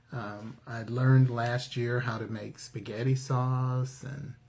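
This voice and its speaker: A somewhat breathy voice with fairly even intonation. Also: man. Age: 60s. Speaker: cooking channel co-host. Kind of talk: casual chat.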